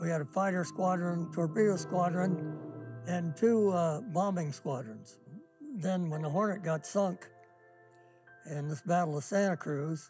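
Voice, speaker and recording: Faint music plays in the background as a man with a high pitch speaks at a fairly slow pace. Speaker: war veteran. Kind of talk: interview answer. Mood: calm, wry storytelling. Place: garage.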